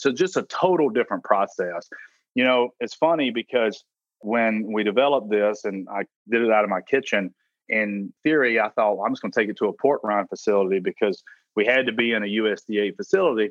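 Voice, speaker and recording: A man with a strong Southern US accent, medium pitch, ordinary pitch variation and a fairly quick pace. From South Carolina. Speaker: food brand founder and CEO. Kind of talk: interview. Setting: phone call.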